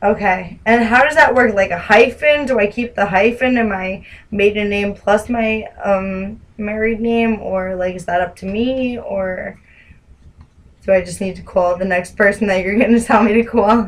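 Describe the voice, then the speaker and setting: With a New Jersey accent, a woman at medium pitch speaks at a moderate pace with fairly even intonation. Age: 20s. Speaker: caller. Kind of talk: phone call. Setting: phone call.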